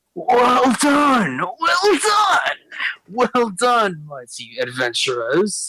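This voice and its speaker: A raspy, put-on character voice with a fairly high pitch moves at a very slow pace. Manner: grandly congratulating.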